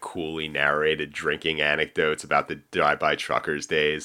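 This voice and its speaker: A man's voice with a bright, sharp tone. His pace is moderate. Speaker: podcast co-host and music critic. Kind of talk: casual chat. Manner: halting.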